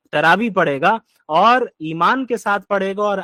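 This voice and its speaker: The sound is dry and close with no echo as a man speaks with lively intonation. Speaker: Islamic scholar. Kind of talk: religious sermon.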